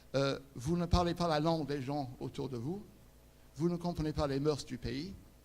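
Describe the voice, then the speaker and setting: A man with an English accent speaks at a moderate pace in a fairly high voice with fairly even intonation. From England. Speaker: conference speaker, interpreter and refugee charity head. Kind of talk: inspirational talk.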